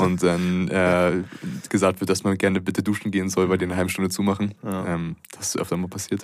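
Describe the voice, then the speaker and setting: A man talks at a fairly quick pace with hardly any pauses. His very deep, low voice stays monotone and flat. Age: 20s. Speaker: student and American football player. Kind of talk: casual chat. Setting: in person, sitting across from the host.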